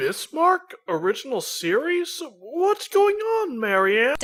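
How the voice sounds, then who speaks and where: This put-on character voice sits at an extremely high pitch, swinging very widely in pitch at a fairly slow pace. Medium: fan dub. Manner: confused, earnest.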